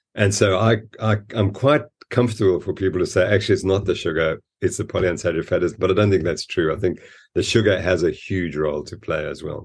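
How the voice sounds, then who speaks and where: A man talks at a very fast pace in a fairly low, somewhat breathy voice. His pitch varies in an ordinary way. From Zimbabwe and South Africa. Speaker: exercise science professor. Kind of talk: interview.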